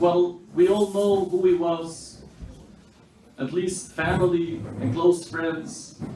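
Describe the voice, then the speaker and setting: With audible room echo and noticeable background noise, a man talks fairly slowly at a high pitch, keeping his intonation fairly even. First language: Yiddish. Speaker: speaker at memorial meal. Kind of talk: memorial speech.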